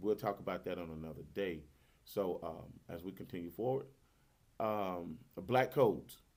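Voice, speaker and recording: An American accent marks this voice. It belongs to a man. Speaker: podcast host. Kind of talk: casual monologue on history.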